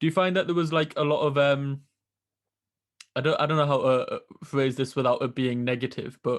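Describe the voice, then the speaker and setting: A man with a Geordie accent speaks at a fairly quick pace, his fairly high pitch held in a fairly even intonation against a quiet background. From northern England, Newcastle. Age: 20s. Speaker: podcast host. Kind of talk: casual interview.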